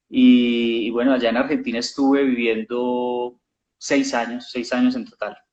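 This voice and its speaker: A man with a Colombian accent talks at a fairly slow pace in a flat, monotone delivery at medium pitch. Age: young. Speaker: actor. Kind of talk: interview.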